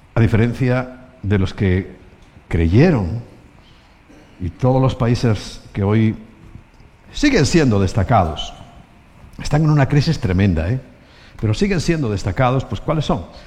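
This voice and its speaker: Amid audible room echo, a man at medium pitch speaks with lively intonation at a fairly slow pace, with long, frequent pauses. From Spain. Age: 60s. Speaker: pastor. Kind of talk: sermon.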